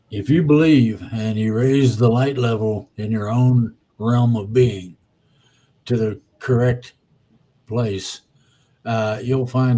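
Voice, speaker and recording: A man's medium-pitched voice has a dark, mellow tone and is somewhat breathy. His intonation stays fairly even. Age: 70s. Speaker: spiritual guest speaker. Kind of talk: casual interview chat.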